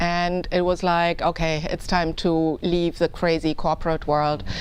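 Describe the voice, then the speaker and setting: A woman at a fairly slow pace, with a German accent. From Germany. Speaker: political candidate. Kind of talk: interview.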